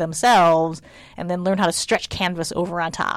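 A woman's fairly low-pitched, normal speaking voice at a moderate pace, on a very clean recording with a silent background. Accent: American. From United States, Chinese American family. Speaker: art professor. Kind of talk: casual interview. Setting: art studio.

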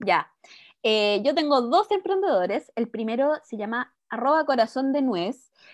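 Woman with a Chilean accent, a high pitch and a very slow pace, in a quiet background with a dry, close sound and no echo. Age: 30s. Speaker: podcast co-host. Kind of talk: casual chat.

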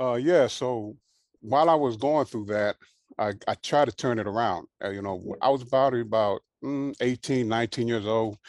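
A man at medium pitch with ordinary pitch variation and a moderate pace, the sound dry and close with no echo, over a quiet background. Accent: American. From Southern California (Carson). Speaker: former gang member and prison re-entry program leader. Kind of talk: interview testimony. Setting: video call.

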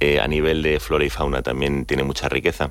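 Over noticeable background noise, a man with a very deep, low voice speaks at a fairly quick pace. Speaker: business executive. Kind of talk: radio interview.

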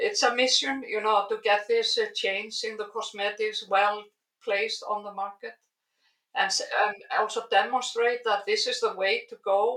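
The speaker has an Icelandic accent. The pace is moderate. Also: woman. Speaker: biologist and skincare founder. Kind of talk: interview. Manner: hesitant with fillers.

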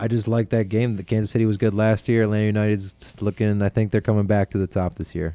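A man's fairly low-pitched, dark, mellow voice with a slight Buffalo accent, very fast pace, hardly any pauses and monotone, flat intonation in a dry, close sound with no echo. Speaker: podcast host. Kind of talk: casual chat.

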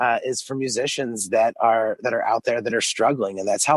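With an unremarkable speaking voice, a man talks at a moderate pace and medium pitch, his intonation fairly even. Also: dry, close sound with no echo. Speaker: podcast co-host. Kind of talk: casual chat.

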